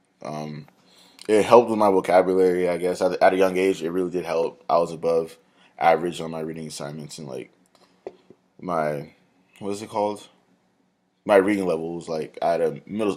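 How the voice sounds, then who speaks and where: A man with a very deep, low voice and an American accent mumbles at a fairly quick pace, his pitch varying in an ordinary way. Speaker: college student. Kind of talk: class presentation video. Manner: fast; mumbling.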